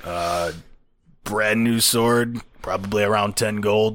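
A man's raspy, put-on character voice sits at a fairly low pitch. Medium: actual play. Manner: blunt, plain-spoken.

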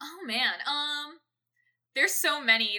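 A woman is speaking. Her tone is bright and sharp. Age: 20s. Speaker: musician. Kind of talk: casual chat. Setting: Discord recording. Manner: fast talker.

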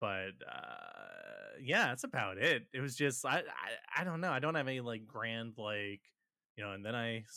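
The speaker moves at a moderate pace. It is a plain, everyday voice. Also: man. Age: 30s. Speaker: artist. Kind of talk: casual chat.

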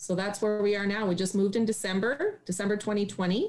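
In a Canadian accent, a woman with a normal speaking voice moves at a fairly quick pace and keeps her intonation fairly even. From Northern Ontario, Canada (Sudbury). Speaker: occupational therapist and farm owner. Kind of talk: interview.

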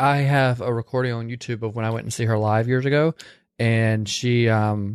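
A man speaks at medium pitch and a moderate pace in an animated tone. The background is quiet. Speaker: podcast host. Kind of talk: casual chat. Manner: animated, joking.

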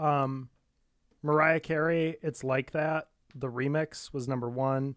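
An ordinary speaking voice with an American accent, fairly even intonation, and a dry, close sound with no echo. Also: man. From Muskegon, Michigan. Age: 20s. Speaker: podcast co-host. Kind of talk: casual chat.

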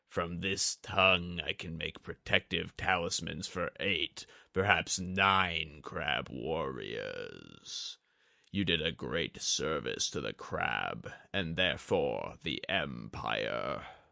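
A raspy, put-on character voice moves at a very slow pace over a quiet background. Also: man, very deep, low pitch for a man. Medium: read story. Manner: cold, calculating.

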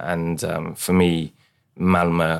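A man with a London accent speaks in a very deep, low pitch with monotone, flat intonation. The recording is very clean, with a silent background. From London, East London. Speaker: city architect. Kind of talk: panel discussion.

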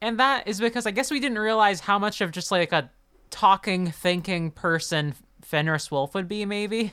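The pace is moderate. This is an ordinary speaking voice. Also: woman, medium pitch for a woman, lively intonation, very clean recording, silent background. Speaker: podcast host. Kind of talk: casual chat.

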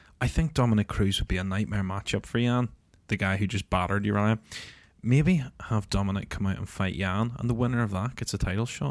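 A man with a Northern Irish accent speaks at a fairly low pitch with ordinary pitch variation on a very clean recording with a silent background. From Northern Ireland. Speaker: MMA podcast host. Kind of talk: casual banter.

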